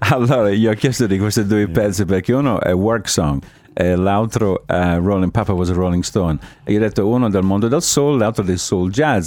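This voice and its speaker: A man's fairly low voice, with ordinary pitch variation, rushes along at a very fast pace. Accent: Italian. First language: Italian. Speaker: radio host. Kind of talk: radio interview. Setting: studio.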